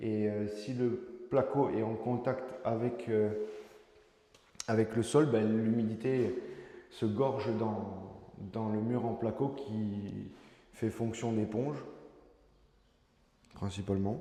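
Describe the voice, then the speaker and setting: A man at a very slow pace, long and frequent pauses, audible room echo, and noticeable background noise. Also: medium pitch for a man, ordinary pitch variation. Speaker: home renovation vlogger. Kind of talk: casual renovation walkthrough. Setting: empty room in a house under renovation. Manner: loud; hesitant, many fillers.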